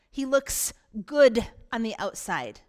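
Animated in tone, a woman speaks at high pitch with ordinary pitch variation. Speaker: pastor. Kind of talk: sermon. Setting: church stage with audience. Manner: emphatic, repeating for force.

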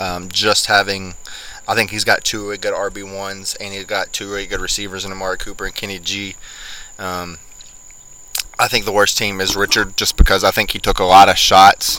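Through noticeable background noise, a man talks fairly quickly in a fairly low, monotone, flat voice. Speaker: podcast host. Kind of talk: casual chat.

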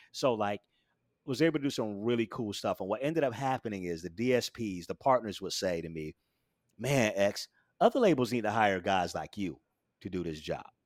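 In a very clean recording with a silent background and a dry, close sound with no echo, a man with an ordinary speaking voice talks at a fairly quick pace and fairly low pitch. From US South (Florida). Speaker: music industry executive and AI DJ voice. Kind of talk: casual interview chat. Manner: casual, relaxed.

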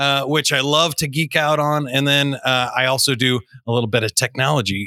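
Recorded very cleanly over a silent background with a dry, close sound and no echo, a man with an American accent speaks at a moderate pace with a bright, sharp tone and ordinary pitch variation. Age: 40s. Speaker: public speaker and podcast host. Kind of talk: interview. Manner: animated.

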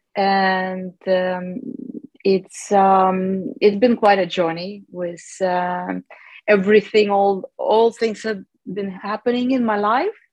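Using fairly even intonation, a woman speaks at medium pitch and a very slow pace. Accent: Russian. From Russia, Chelyabinsk (South Ural). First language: Russian. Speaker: classical guitarist. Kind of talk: interview. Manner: halting, many fillers.

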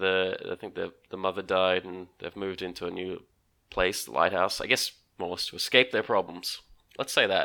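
A man with an Australian accent, very deep and low in pitch, bright and sharp in tone, with fairly even intonation on a very clean recording against a silent background. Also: moderate pace, big swings in loudness. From Australia, Melbourne. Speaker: podcast guest. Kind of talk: casual chat.

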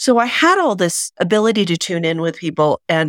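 A woman with an American accent, very wide pitch swings and a moderate pace, in a dry, close sound with no echo and a very clean recording over a silent background. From Oklahoma. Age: 50s. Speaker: intuitive reader. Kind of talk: interview conversation.

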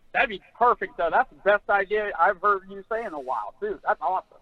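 With an animated tone, a man speaks at a high pitch and a moderate pace. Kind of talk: casual sports talk. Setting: phone call. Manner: animated, irritated about umpires.

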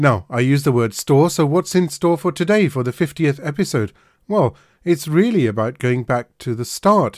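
A man with an unremarkable speaking voice talks at a moderate pace with lively intonation, in a very clean, dry and close recording with a silent background and no echo. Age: 50s. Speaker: homeopath and podcast host. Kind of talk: casual interview.

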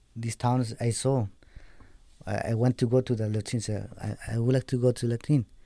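A man with a Spanish accent speaks at a medium pitch and moderate pace, his tone dark and mellow. His intonation is fairly even, with long, frequent pauses. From Bolivia, Andes highlands. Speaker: program graduate sharing his life story. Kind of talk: testimony. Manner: halting, searching for words.

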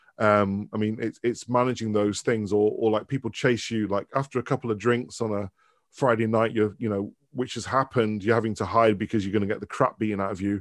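A man with a Mancunian accent, fairly low-pitched and fairly quick, against a quiet background. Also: dry, close sound with no echo. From Manchester, northern England. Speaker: professor of branding and culture. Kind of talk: casual interview chat. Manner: animated.

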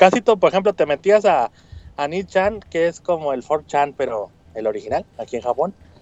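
Lively intonation at a moderate pace. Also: man, high pitch for a man. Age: 30s. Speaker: correspondent in Japan. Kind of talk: casual chat.

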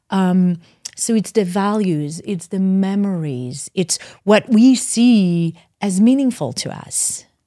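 Very slowly, a woman with a non-native accent speaks at a medium pitch with lively intonation and a dark, mellow tone. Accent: foreign-accented English. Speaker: licensed professional counselor. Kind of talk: podcast interview. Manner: halting.

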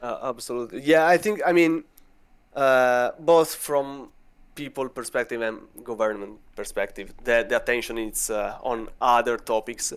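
A man with an Italian accent talks at a moderate pace, his medium pitch showing ordinary variation. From Italy. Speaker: vulnerability researcher. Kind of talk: casual interview.

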